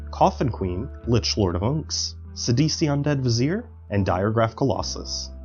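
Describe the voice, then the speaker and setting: Over music in the background, the voice moves at a moderate pace with very wide pitch swings. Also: man. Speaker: gameplay commentator. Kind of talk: game commentary narration.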